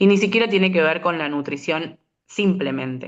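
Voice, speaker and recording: A woman with an ordinary speaking voice talks at a moderate pace, her pitch fairly low with ordinary variation. The background is quiet. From Argentina, San Luis. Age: 30s. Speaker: molecular biologist, researcher. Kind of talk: interview.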